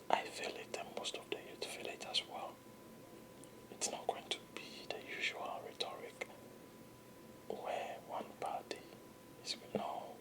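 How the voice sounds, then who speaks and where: Whispering at a fairly slow pace in a calm, soothing tone, with long, frequent pauses and noticeable background noise. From Ghana. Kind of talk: whispered ASMR political commentary. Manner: whispered, calm, soothing.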